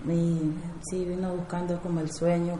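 Against noticeable background noise and audible room echo, a woman speaks in a fairly low voice with monotone, flat intonation. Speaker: migrant cook. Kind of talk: testimony.

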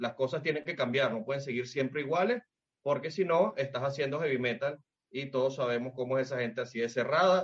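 Somewhat breathy and fairly high, a man's voice moves at a fairly quick pace with ordinary pitch variation, in a Venezuelan accent. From Venezuela, Valencia (Carabobo). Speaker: musician guest. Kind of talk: casual chat.

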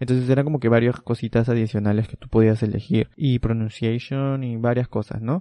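The intonation stays fairly even over a dark, mellow tone. It moves at a fairly quick pace, with a dry, close sound and no echo. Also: man, medium pitch for a man. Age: 20s. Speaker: podcast co-host. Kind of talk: casual chat.

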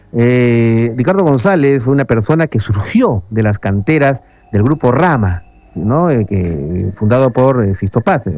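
Lively intonation marks this man's unremarkable speaking voice, set at a medium pitch. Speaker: radio host, ufologist. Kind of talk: radio talk show. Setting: radio studio.

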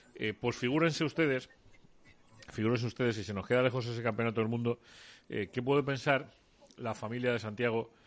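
Keeping a fairly quick pace broken by long, frequent pauses, a man speaks at medium pitch with fairly even intonation. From Almería, Andalusia, Spain. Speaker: sports radio host. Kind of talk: radio sports show.

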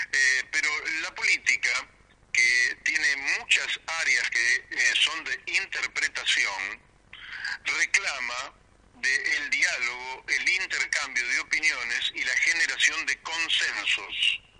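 Very slow speech from a man, with noticeable noise in the background. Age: 60s. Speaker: politician. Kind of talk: radio interview.

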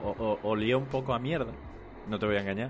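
A man talks at a fairly quick pace with an Andalusian accent. His pitch variation is ordinary. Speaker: podcast host. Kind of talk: casual chat.

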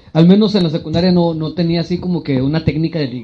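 With noticeable background noise, a man talks at a fairly quick pace in a fairly high pitch with ordinary pitch variation. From Mexico, Monterrey. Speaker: podcast co-host. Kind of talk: casual chat.

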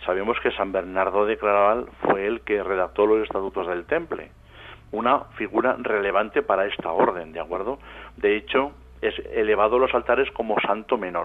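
Moderate pace and ordinary pitch variation in a man's fairly low voice. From Matarraña, Aragon, Spain. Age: 50s. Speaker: writer and researcher. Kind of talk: interview. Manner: halting, many fillers.

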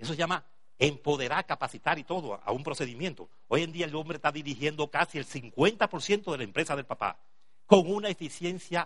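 At a moderate pace, an ordinary speaking voice comes through with ordinary pitch variation. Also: man, fairly high pitch for a man. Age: 60s. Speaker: business seminar speaker. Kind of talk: motivational talk.

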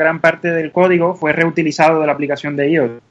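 The speaker is a man. His voice sits at a fairly high pitch. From Cuba. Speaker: app developer. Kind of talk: interview. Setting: online call.

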